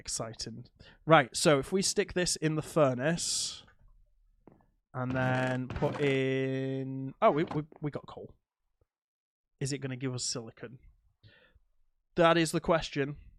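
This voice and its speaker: A man with a British accent, fairly high in pitch with ordinary pitch variation, big swings in loudness, and long, frequent pauses. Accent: UK. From UK. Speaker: gaming streamer. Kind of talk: live gameplay commentary. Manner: animated.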